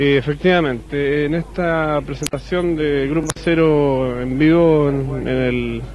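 Over light background noise, with a dry sound and no echo, a man with a fairly high voice speaks very slowly with fairly even intonation. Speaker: rock musician. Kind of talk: TV interview. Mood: relaxed, smiling. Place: cafe. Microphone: handheld.

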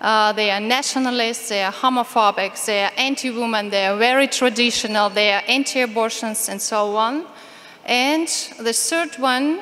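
A woman with a Ukrainian accent speaks at a fairly high pitch. Her pace is moderate, with ordinary pitch variation. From Ukraine. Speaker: activist speaker on LGBT rights. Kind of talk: conference talk. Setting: conference stage with audience, interpreter. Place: hall. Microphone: podium.

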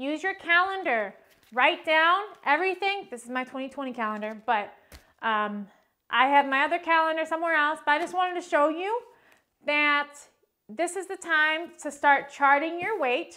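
A woman speaks in a raised, projected voice. Her pace is moderate and her intonation lively. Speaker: fitness instructor. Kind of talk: workout tutorial intro. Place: empty room.

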